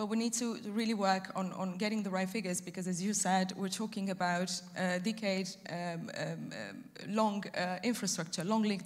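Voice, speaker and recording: A woman's somewhat breathy voice at a moderate pace, with monotone, flat intonation. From Romania. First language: Romanian. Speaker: EU energy policy officer. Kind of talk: panel discussion. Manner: halting, many fillers.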